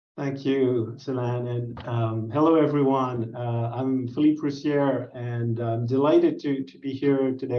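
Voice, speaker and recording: Speaking at a fairly slow pace with a French accent, a man of medium pitch keeps a monotone, flat intonation. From France. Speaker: business researcher. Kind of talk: presentation.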